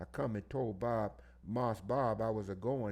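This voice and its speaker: A man's medium-pitched voice, dark and mellow in tone with vocal fry, at a moderate pace and with ordinary pitch variation. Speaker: audiobook reader. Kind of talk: oral history reading.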